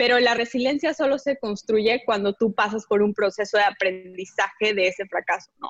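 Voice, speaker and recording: A woman with an unremarkable speaking voice talks with hardly any pauses, her fairly high pitch varying in an ordinary way, in a dry, close sound with no echo. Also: moderate pace. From Bolivia. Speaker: social entrepreneur. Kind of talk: casual interview.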